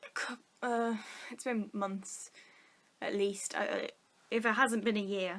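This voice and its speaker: A woman's fairly high voice with a northern English accent, fairly even intonation and a moderate pace. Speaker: vlogger. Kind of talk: casual chat.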